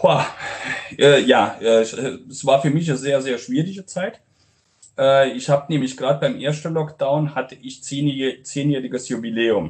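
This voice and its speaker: Here a man has a normal speaking voice with a fairly high pitch. He talks at a fairly slow pace with ordinary pitch variation. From Romania, Transylvanian Saxon (Brașov). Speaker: restaurant owner and chef. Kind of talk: interview.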